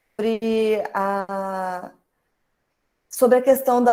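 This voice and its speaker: A woman speaks very slowly with fairly high pitch and ordinary pitch variation. Her tone is dark and mellow. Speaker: teacher leading an online workshop. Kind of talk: online workshop lecture.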